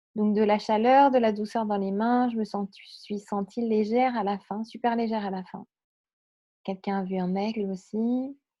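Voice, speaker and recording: The woman's intonation stays flat and monotone. She talks fairly slowly. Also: fairly high pitch for a woman. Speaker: spiritual medium and meditation guide. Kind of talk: live stream chat after guided meditation. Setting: live stream. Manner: hesitant, many fillers.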